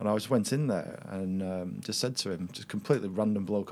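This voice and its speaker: A fairly low-pitched man with a Lancashire accent at a fairly quick pace. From Lancashire, northwest England. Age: 40s. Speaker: podcast guest. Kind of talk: casual chat.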